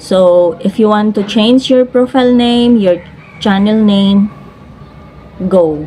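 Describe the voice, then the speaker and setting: A woman speaks at a very slow pace with very even loudness, her medium pitch showing ordinary pitch variation. Noticeable background noise is present. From Cebu, Philippines. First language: Cebuano (speaking Tagalog). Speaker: vlogger and live streamer. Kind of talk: casual vlog talk to camera.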